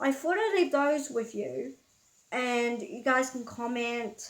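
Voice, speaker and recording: Speaking fairly slowly in a New Zealand accent, a woman uses a high pitch. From New Zealand, Auckland. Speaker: vlogger. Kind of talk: casual storytelling vlog. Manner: casual, hesitant with fillers.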